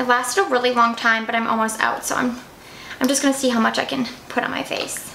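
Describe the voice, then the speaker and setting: A woman speaks at a very fast pace and high pitch. Noticeable background noise and audible room echo are present. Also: fairly even intonation. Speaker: beauty vlogger. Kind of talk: makeup tutorial, casual chat.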